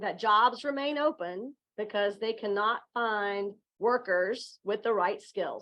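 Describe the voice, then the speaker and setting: A woman in a Southern Virginia accent, fairly high in pitch, at a fairly slow pace with ordinary pitch variation. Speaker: education executive. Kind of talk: conference presentation.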